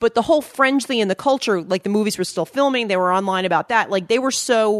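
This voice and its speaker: A woman with a plain, everyday voice and an American accent speaks at a medium pitch with ordinary pitch variation, sounding dry and close with no echo against a quiet background. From Long Island, New York. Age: 40s. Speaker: fan site editor. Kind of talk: casual chat.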